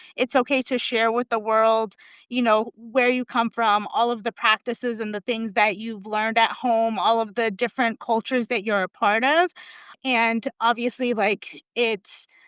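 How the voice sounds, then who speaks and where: With fairly even intonation, a woman talks at a moderate pace in a fairly high pitch. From US (California), born in Russia. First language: Russian. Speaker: professor. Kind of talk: podcast interview. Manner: casual, filler-heavy.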